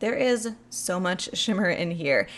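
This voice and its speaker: A woman speaks in a plain, everyday voice at a medium pitch, her intonation lively. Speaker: beauty youtuber. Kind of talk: product review.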